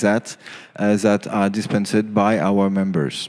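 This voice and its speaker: A man speaks with a French accent at a fairly low pitch. He goes at a fairly slow pace with monotone, flat intonation. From France. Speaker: conference speaker on cybersecurity regulation. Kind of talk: conference talk. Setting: stage with audience. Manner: halting, many fillers.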